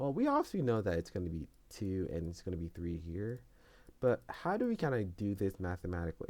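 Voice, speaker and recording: The man's voice sits fairly low, with a dark, mellow tone. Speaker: coding YouTuber. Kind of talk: tutorial. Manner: halting.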